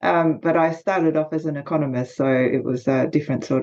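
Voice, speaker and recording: With an Australian accent, a woman talks at a fairly quick pace. Her pitch varies in an ordinary way. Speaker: leadership consultant and author. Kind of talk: podcast interview.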